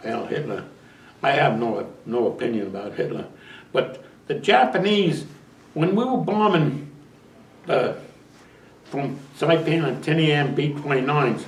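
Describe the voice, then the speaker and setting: With audible room echo, a man speaks at a fairly slow pace and fairly high pitch, somewhat breathy, with lively intonation and long, frequent pauses. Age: 90s. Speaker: war veteran. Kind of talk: interview. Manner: halting.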